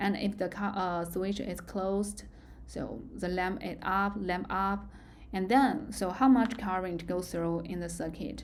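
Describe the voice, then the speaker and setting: A woman with a Chinese accent, with audible room echo. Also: medium pitch for a woman, ordinary pitch variation, fairly slow pace. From China. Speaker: university lecturer. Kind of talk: lecture. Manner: halting.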